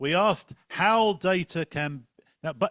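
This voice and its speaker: A man speaks with an English accent. The sound is dry and close, with no echo. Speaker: panel moderator. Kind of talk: moderated panel discussion. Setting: conference room with online audience.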